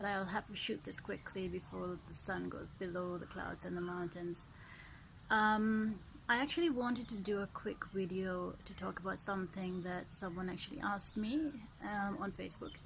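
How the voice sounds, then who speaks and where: A somewhat breathy woman at a moderate pace, medium pitch and ordinary pitch variation. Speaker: artist and video blogger. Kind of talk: casual vlog talk. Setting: outdoors at sunset. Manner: speaking up, projecting more than usual; hesitant, frequent ums.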